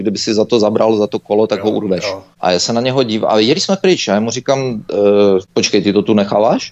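A man at a medium pitch with ordinary pitch variation and a very fast pace. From Czechia. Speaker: Czech emigrant recounting travel to Belarus. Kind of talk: interview.

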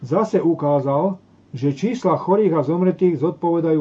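A man with a fairly high pitch talks at moderate speed, his pitch moving in an ordinary way. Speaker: talk show host. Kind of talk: reading aloud. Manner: halting over technical words.

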